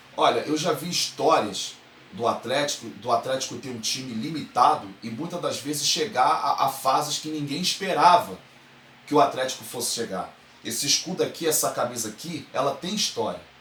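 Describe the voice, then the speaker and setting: A fairly high-pitched man with a Carioca accent, lively intonation and an animated tone at a moderate pace, over noticeable background noise. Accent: carioca (Rio de Janeiro) Brazilian Portuguese. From Brazil, Rio de Janeiro. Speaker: football fan commentator, online show host. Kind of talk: opinion monologue to camera.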